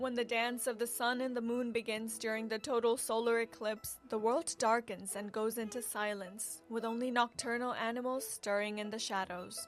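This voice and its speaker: Music plays behind a woman who speaks in a fairly high pitch with fairly even intonation. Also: moderate pace, hardly any pauses. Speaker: news reporter. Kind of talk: broadcast news reporter delivery.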